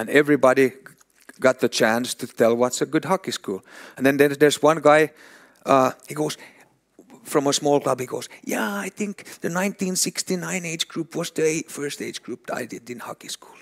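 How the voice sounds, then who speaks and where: At a moderate pace, a man with a Swedish accent speaks at a fairly high pitch with ordinary pitch variation and big swings in loudness, the sound dry and close with no echo. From Finland. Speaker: hockey development director, former pro player. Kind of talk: conference talk. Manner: animated, with sound effects; halting, with repetitions.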